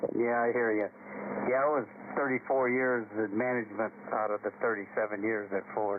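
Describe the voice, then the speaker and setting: A man with an American accent speaks at a medium pitch in a flat monotone, his loudness very even, over noticeable background noise. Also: moderate pace. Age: 70s. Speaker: retired auto industry manager. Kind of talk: casual chat. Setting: radio net.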